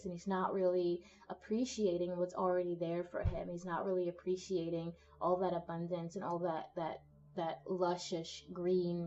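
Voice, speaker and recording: Monotone, flat intonation carries over music playing in the background. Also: woman. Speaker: tarot reader. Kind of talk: tarot reading to camera. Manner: casual, conversational.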